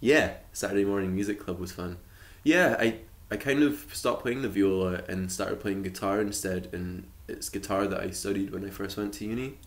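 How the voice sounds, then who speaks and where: Audible room echo around a man's fairly low voice, at a moderate pace with ordinary pitch variation. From Shetland, Scotland. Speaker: musician and arts worker. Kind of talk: casual chat. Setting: podcast interview. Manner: hesitant, many fillers.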